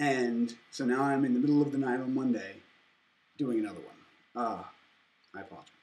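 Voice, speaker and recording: A man with a medium pitch talks at a fairly quick pace and fairly even intonation. Long, frequent pauses break his speech, and audible room echo surrounds it. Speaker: anthropology student. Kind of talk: lecture. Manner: halting.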